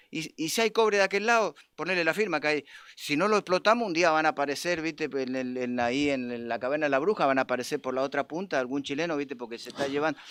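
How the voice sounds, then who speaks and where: Talking at a very fast pace, a man with a fairly high pitch uses lively intonation in a dry, close recording with no echo, very clean against a silent background. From Argentina, Mendoza province. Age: 60s. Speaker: union leader. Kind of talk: political talk on a live stream. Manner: halting, many repetitions and fillers.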